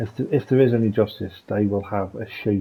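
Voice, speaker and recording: Fairly low pitch, a somewhat breathy, dark, mellow tone from a man. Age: 40s. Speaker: gaming video creator. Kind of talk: casual gameplay commentary. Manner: soft-spoken.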